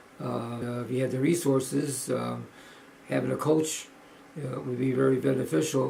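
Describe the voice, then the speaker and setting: At a fairly slow pace, a man speaks amid audible room echo and noticeable background noise. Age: 70s. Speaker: powerlifter vlogger. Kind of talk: video log. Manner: halting, many fillers.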